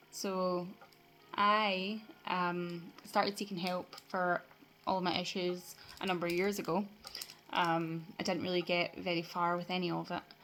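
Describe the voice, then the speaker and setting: Fairly slow, monotone, flat delivery from a woman with a Scottish accent, fairly low in pitch, with long, frequent pauses. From Scotland. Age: 20s. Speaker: vlogger. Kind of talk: personal vlog. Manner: halting, many fillers.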